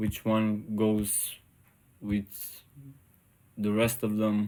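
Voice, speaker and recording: A man's fairly low, dark, mellow voice with a non-native accent and monotone, flat intonation. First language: not English. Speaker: 3D artist. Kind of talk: tutorial. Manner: halting.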